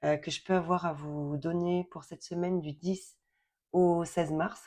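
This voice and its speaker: Against a quiet background, a woman talks very slowly at a medium pitch. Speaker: tarot card reader. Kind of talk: card reading for viewers. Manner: hesitant, many fillers.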